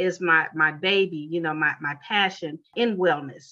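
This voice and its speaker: A woman with an American accent speaks at a moderate pace in a bright, sharp tone. The background is quiet. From Chicago, US Midwest. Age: 50s. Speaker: college marketing professor and wellness entrepreneur. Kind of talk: interview.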